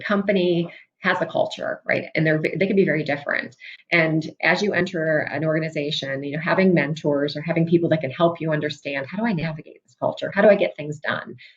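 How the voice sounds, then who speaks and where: Talking at a very fast pace, a woman with a fairly low pitch sounds somewhat breathy and uses ordinary pitch variation. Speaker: business executive speaker. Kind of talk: career talk to students.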